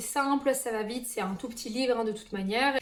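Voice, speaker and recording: A woman is speaking. Her pitch is high. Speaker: booktuber. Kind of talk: casual book collection presentation. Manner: hesitant, many fillers.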